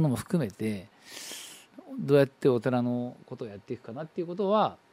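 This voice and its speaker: A dark, mellow male voice moving at a fairly quick pace. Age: 40s. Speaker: Buddhist priest and radio host. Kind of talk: casual talk show monologue.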